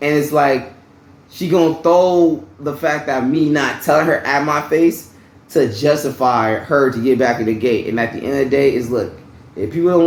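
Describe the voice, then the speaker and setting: Audible room echo colors a man's fairly high-pitched voice, which moves at a moderate pace with ordinary pitch variation. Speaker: vlogger. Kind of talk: personal storytelling vlog. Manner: loud; casual, conversational.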